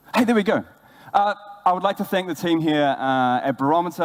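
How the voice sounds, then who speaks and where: A man with a New Zealand accent, very fast and lively in intonation. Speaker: brand ambassador, former bartender. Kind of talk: conference talk. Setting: stage with audience.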